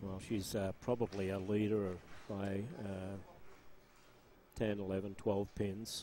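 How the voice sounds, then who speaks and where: Speaking at a very slow pace with long, frequent pauses, a man uses a fairly low pitch and a dark, mellow tone in a monotone, flat delivery. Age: 60s. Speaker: bowling commentator. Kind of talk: live commentary. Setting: bowling alley.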